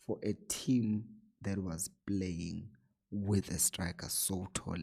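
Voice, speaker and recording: Quiet and at a very slow pace, a man talks with a dark, mellow tone, a fairly low pitch and ordinary pitch variation. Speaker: football analyst YouTuber. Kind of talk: tactical match analysis. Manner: low, quiet voice.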